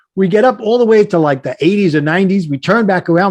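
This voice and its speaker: Speaking at a fairly quick pace, a man with a Brooklyn accent has a high pitch. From US Northeast (Brooklyn, New York). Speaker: life coach, podcast guest. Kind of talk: casual interview storytelling. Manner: animated.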